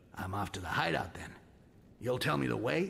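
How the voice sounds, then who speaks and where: A man in a put-on character voice. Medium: video game. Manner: sarcastic, grumbling.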